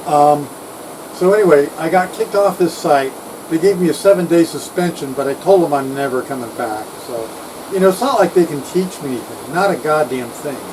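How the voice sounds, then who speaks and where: Through noticeable background noise, a man talks at a fairly quick pace, with fairly high pitch and ordinary pitch variation. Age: 60s. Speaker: retired electronics engineer. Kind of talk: casual vlog rant. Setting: outdoors on houseboat deck.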